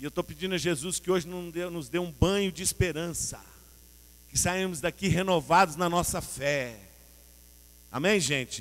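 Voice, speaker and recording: At a moderate pace with long, frequent pauses, a man talks at a high pitch with ordinary pitch variation. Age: 60s. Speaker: pastor. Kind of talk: sermon. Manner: animated.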